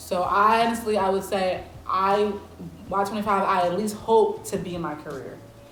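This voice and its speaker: At a moderate pace, a woman speaks in an animated tone with audible room echo. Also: big swings in loudness. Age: 20s. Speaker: college student, mukbang guest. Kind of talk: casual chat. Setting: eating on camera with friends.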